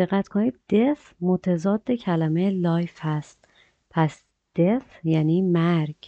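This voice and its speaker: A woman speaks very slowly in a fairly low pitch, her tone dark and mellow, with a dry, close sound free of echo against a quiet background. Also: ordinary pitch variation. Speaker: English teacher. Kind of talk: tutorial.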